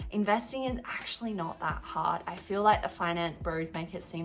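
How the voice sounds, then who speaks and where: Music plays in the background as a woman talks with an Australian accent. Her pitch is medium and her pace moderate. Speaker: YouTuber, film and TV freelancer. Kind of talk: personal finance vlog. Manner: casual, conversational.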